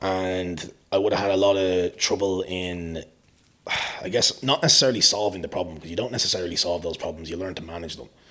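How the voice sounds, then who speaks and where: Speaking at a very fast pace with an Irish accent, a man has a very deep, low pitch with ordinary variation, a bright, sharp tone and big swings in loudness. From Ireland. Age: 20s. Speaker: fitness coach. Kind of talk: podcast interview.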